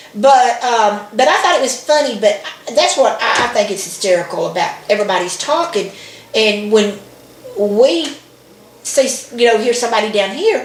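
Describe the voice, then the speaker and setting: A woman in an American accent talks at a moderate pace with a fairly high pitch, an animated tone and lively intonation. Noticeable background noise and audible room echo fill the recording. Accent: Southern US, noticed by outsiders. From Alabama, US South. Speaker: video blogger. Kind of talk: casual chat.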